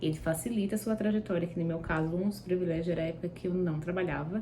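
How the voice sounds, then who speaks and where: A fairly low-pitched woman's voice, somewhat breathy with a dark, mellow tone, at a fairly quick pace and with fairly even intonation. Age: 20s. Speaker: university student. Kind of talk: vlog sharing study tips. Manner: casual, with filler words.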